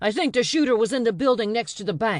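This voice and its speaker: A woman's growling put-on character voice, very fast and fairly high, with lively intonation over a quiet background. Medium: read story. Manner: clipped, commanding.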